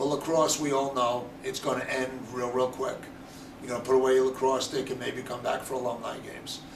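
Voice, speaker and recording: At a fairly quick pace, a man speaks at a medium pitch with monotone, flat intonation. Noticeable background noise and audible room echo fill the recording. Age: 60s. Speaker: college lacrosse head coach. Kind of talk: interview.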